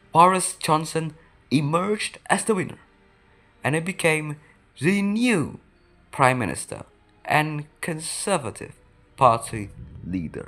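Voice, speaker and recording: Music plays in the background as a woman with a very deep, low pitch speaks fairly slowly, her pitch swinging very widely, with long, frequent pauses. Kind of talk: history explainer narration. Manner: higher-pitched than usual.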